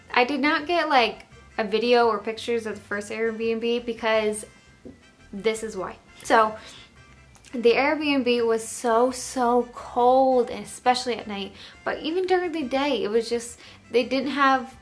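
A high-pitched woman's voice at a fairly slow pace, with ordinary pitch variation and faint music in the background. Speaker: travel vlogger. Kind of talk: casual vlog chat. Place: home room.

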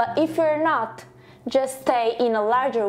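A woman speaks in a high voice. Her pace is very slow. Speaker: yoga teacher. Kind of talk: tutorial. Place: home room. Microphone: lapel.

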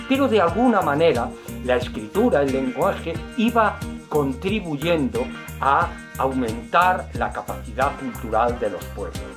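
A man speaks at a fairly slow pace while clear music plays in the background. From Spain. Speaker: retired teacher. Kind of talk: science comedy monologue. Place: home room. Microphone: webcam.

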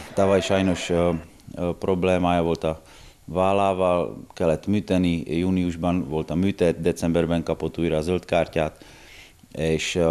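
In a very deep, low voice, a man speaks in a monotone, flat way. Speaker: basketball club section manager. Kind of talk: interview. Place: home room. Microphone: handheld.

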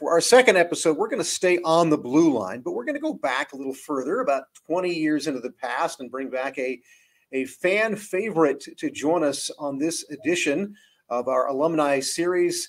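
A man with fairly high pitch, lively intonation and a moderate pace

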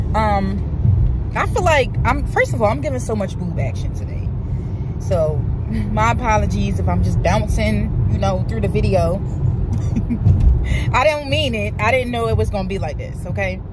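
A woman talks at a moderate pace in dry, echo-free sound, with loud noise behind her. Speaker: vlogger. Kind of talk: casual vlog chat. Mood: upbeat, playful. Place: car. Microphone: phone near.

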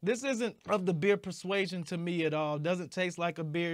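The background is silent apart from the voice. It belongs to a man. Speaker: beer reviewer. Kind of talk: casual review commentary. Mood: blunt, unimpressed. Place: home room. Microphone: lapel.

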